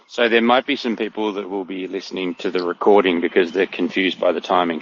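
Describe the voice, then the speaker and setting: Fairly low male speech in an Australian accent. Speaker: company representative. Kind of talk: interview. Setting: online audio space.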